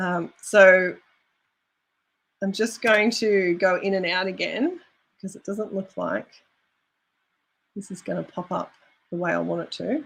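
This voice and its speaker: Speaking fairly slowly, a woman with vocal fry holds a medium pitch with ordinary pitch variation. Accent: Australian. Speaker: YouTube creator coach. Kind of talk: live stream tutorial.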